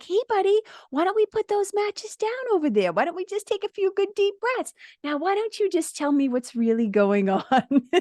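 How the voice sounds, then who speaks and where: In a put-on character voice, a woman speaks at a moderate pace, squeaky and extremely high in pitch. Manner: gentle, soothing.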